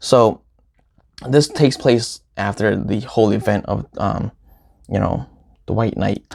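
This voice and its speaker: Using vocal fry, a man at a fairly low pitch speaks with long, frequent pauses. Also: ordinary pitch variation, fairly slow pace. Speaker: comic book YouTuber. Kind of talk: casual review vlog. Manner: stutters.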